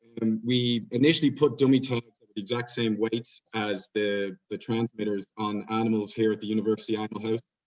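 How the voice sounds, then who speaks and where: At a fairly quick pace, a man speaks at a medium pitch in a monotone, flat intonation. The sound is dry and close, with no echo. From Ireland. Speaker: PhD researcher presenting at conference. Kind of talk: conference presentation. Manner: hesitant, many fillers.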